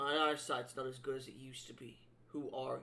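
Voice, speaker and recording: Putting on a gruff character voice, a man talks at a fairly quick pace. His pitch sits in the medium range. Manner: suspicious.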